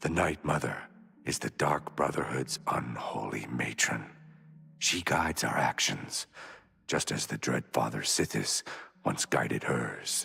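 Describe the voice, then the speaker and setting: In a put-on character voice with a very deep, low pitch, a man speaks at a fairly slow pace with long, frequent pauses. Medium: video game. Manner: measured, solemn.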